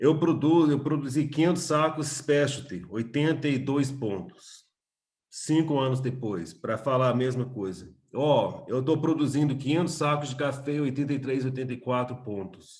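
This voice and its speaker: A man with an American accent speaks at a fairly high pitch. His voice is somewhat breathy and his pace fairly slow. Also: ordinary pitch variation. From USA, Texas (Austin). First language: English (speaking Portuguese). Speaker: coffee business owner and trainer. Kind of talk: webinar talk. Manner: halting, many fillers.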